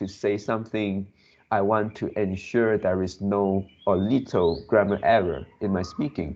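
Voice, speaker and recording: A man with a non-native accent at a fairly low pitch and fairly slow pace, with ordinary pitch variation. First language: not English. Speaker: English learner. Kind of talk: casual chat. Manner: slow, hesitant with many fillers; pauses to search for words.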